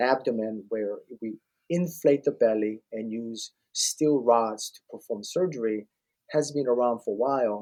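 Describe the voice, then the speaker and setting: A man speaks at a moderate pace with a dark, mellow tone. His pitch varies in an ordinary way. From Korea. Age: 60s. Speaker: ob-gyn surgeon. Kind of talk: podcast interview.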